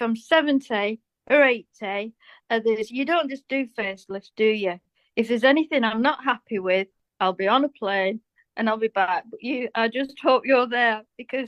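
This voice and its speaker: Speaking at a moderate pace in a British accent, the woman has a fairly high pitch and ordinary pitch variation. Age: 60s. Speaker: cosmetic surgery patient. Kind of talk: casual interview chat.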